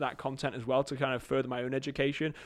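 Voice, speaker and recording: A man with an English accent speaks at a medium pitch and a fairly quick pace, his intonation monotone and flat. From England. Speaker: marketing agency CEO. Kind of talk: casual interview chat.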